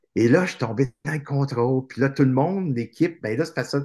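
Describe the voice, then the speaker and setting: A man's fairly high, somewhat breathy voice. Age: 50s. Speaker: author and motivational speaker. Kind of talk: casual interview chat.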